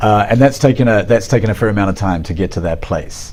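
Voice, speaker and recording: Against noticeable background noise, a man with a New Zealand accent speaks at a fairly quick pace, his fairly low pitch showing ordinary variation. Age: 40s. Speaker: artist and art professor. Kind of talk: interview.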